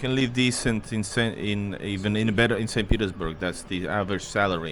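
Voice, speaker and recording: Against noticeable background noise, a man talks fairly quickly with a fairly low pitch and fairly even intonation. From outside Russia, Russian family. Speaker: travel vlogger. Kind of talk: casual chat. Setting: restaurant.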